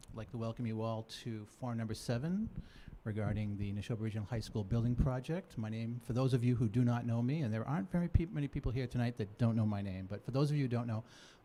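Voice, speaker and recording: A man with a dark, mellow tone and an American accent speaks very fast at medium pitch with ordinary pitch variation. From Massachusetts. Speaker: committee chairman. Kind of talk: public meeting address.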